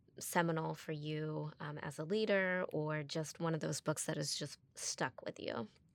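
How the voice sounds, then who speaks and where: A woman's ordinary speaking voice at a fairly slow pace, with ordinary pitch variation, on a very clean recording against a silent background. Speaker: podcast co-host. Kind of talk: interview conversation.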